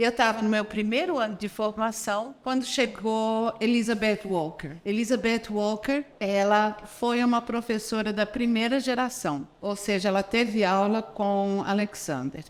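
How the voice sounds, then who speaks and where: The woman has an ordinary speaking voice, fairly high in pitch, with ordinary pitch variation. She goes at a fairly slow pace with hardly any pauses. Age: 50s. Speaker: voice and Alexander Technique teacher. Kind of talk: video lesson.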